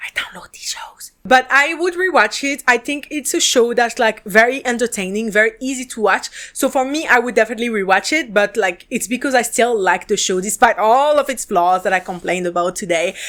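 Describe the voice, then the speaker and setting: Speaking at a fairly quick pace with hardly any pauses, a woman with a French accent uses a fairly high pitch in a very clean recording with a silent background. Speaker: podcast host and drama reviewer. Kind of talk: casual review monologue. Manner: casual, filler-heavy.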